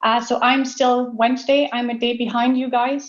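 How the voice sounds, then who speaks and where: A woman's high-pitched, flat monotone with a French Canadian accent and audible room echo. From Quebec, Canada. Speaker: dairy scientist. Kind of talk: conference talk.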